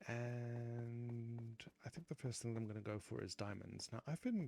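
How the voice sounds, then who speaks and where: The sound is dry and close, with no echo. A man talks at a moderate pace and medium pitch, with ordinary pitch variation. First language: not English. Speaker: gaming youtuber. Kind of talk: gameplay commentary. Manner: hesitant, many fillers.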